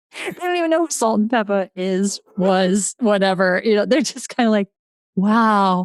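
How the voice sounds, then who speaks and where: Speaking fairly slowly with lively intonation, a woman at a medium pitch talks in a New England accent on a very clean, silent-background recording with a dry, close sound and no echo. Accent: New England American. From Connecticut. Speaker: podcast host. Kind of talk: casual chat.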